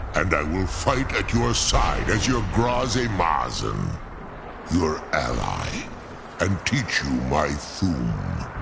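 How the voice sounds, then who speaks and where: Over loud background noise, a man uses a put-on character voice, very deep and low in pitch, at a very slow pace. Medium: video game. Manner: formal, archaic, measured.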